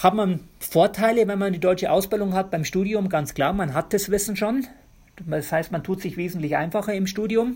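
With ordinary pitch variation, a man's high voice moves along at moderate speed. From Bavaria, Germany. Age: 40s. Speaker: physiotherapist. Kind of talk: interview.

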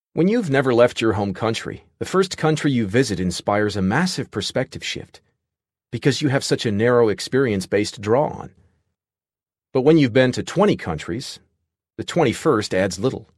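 In a quiet background, a man with an unremarkable speaking voice talks at a medium pitch and moderate pace with lively intonation. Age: 30s. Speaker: author narrating his book. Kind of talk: audiobook narration.

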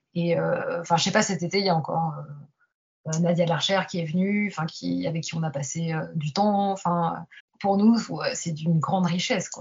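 This woman's voice is somewhat breathy and fairly low in pitch, with fairly even intonation. She talks at a moderate pace but leaves long, frequent pauses. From France. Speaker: pianist and piano teacher. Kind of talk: interview.

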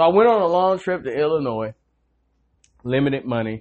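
Speaking in a Southern US accent at a moderate pace, a man swings his pitch very widely. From North Carolina, Greensboro. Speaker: podcast host, army veteran. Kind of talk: casual monologue.

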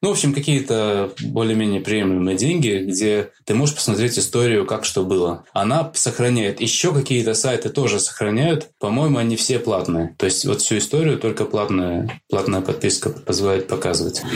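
Lively intonation at a moderate pace, with very even loudness and hardly any pauses. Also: man, medium pitch for a man. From Latvia. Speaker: IT specialist and amateur freeride skier. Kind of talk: casual interview. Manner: hesitant, with many fillers.

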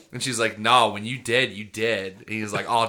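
There is noticeable background noise as a man talks in an animated tone. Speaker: comedy podcast host. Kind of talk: casual comedic banter. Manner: animated, joking.

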